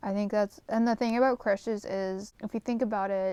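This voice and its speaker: Recorded with a dry, close sound and no echo, a woman talks at a moderate pace with fairly even intonation. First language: not English. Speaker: vlogger. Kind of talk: casual chat. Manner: rambling, many fillers.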